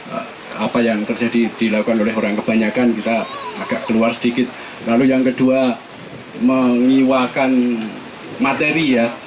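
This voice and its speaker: A medium-pitched male voice at a moderate pace, monotone and flat, with long, frequent pauses and noticeable background noise. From East Java, Magetan. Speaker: audience member asking a question. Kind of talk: question from the audience at a public forum. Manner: halting, spontaneous.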